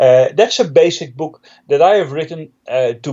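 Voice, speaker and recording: A man is talking with a Dutch accent. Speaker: Linux trainer and author. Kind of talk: interview.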